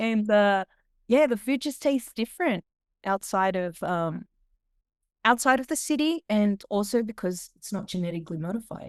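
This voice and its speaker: A woman speaks in an Australian accent with lively intonation. Her pace is moderate. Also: medium pitch for a woman. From Australia, Sydney. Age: 40s. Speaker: singer and food vlogger. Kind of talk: interview. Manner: animated.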